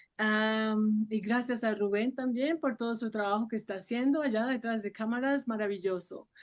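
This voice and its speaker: Against a quiet background, a woman with an ordinary speaking voice and a fairly high pitch talks at a moderate pace with fairly even intonation and hardly any pauses. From Colombia, Sogamoso, Boyacá. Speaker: actress and voice professor. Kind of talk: interview.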